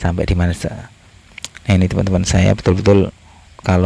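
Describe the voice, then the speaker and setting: A man with a very deep, low pitch talks as noticeable noise runs in the background. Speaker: travel and history vlogger. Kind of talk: walking vlog narration. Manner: halting, many fillers.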